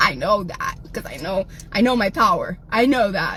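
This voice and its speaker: With an American accent, a woman speaks fairly slowly in a raised, projected voice with an animated tone and very wide pitch swings, amid noticeable background noise. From South Texas. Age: 40s. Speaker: livestreamer. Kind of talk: livestream rant.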